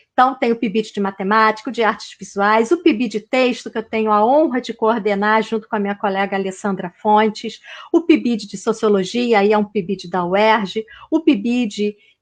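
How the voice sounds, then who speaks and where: Speaking at a moderate pace, a woman uses a normal speaking voice with a fairly high pitch and ordinary pitch variation. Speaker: university professor, lecturer. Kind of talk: online lecture. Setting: video call, virtual talk.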